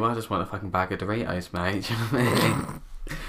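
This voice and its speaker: A man speaks at a moderate pace. His tone is bright and sharp. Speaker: YouTuber. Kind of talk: casual chat. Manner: camp; animated.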